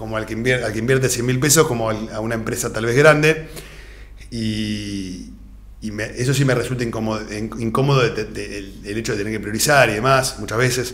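A man speaks in a Rioplatense accent at a medium pitch with vocal fry. His pace is fairly quick and his intonation fairly even. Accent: Argentine Rioplatense Spanish. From Argentina. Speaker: financial advisor; guest. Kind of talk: interview. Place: studio. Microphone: studio mic.

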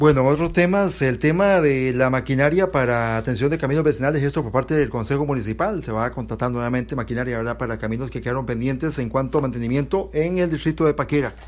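Talking very fast with hardly any pauses, a man keeps a medium pitch and ordinary pitch variation. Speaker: local radio journalist. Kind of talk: radio news interview. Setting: on location reporting.

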